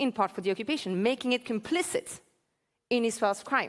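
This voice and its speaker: A woman speaks with a French accent. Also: very clean recording, silent background. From France. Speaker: political activist and keynote speaker. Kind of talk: keynote speech. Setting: conference stage with audience.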